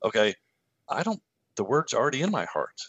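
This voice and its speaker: A man with a Kentucky accent speaks with vocal fry and very wide pitch swings. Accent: Kentucky Southern US. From Kentucky, US. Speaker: former pastor and author. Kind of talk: casual interview conversation. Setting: video call.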